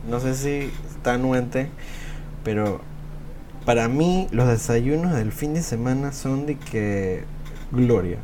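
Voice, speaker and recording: A man at a very slow pace with long, frequent pauses, amid noticeable background noise and audible room echo. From Venezuela. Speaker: podcast co-host. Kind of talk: casual chat.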